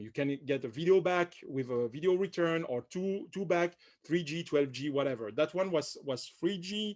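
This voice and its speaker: A man with a French accent and a high voice, moderate pace, ordinary pitch variation, and a quiet background. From France. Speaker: company director presenting products. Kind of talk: webinar product presentation. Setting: online webinar, on camera. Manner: hesitant, many fillers and repetitions.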